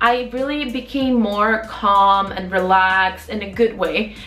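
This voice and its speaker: Noticeable background noise sits behind a woman speaking. Her voice is fairly high, with ordinary pitch variation. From Poland. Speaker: travel vlogger. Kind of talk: casual talk to camera.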